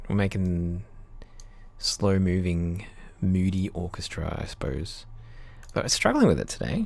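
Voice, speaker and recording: With an Australian accent and a very deep, low pitch, a man speaks at a fairly slow pace with ordinary pitch variation and long, frequent pauses, in a dry sound with no echo. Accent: mild Australian. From Australia, Queensland. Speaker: composer; music composer streamer. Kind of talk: casual livestream chat while working. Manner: casual, halting. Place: home room. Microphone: studio mic.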